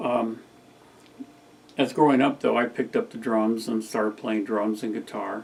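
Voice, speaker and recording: With an American accent, this relaxed speaker keeps a moderate pace and a monotone, flat delivery, leaving long, frequent pauses over noticeable background noise. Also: man, medium pitch for a man. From California (Sacramento area). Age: 60s. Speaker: vlogger. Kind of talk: casual monologue. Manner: relaxed, rambling.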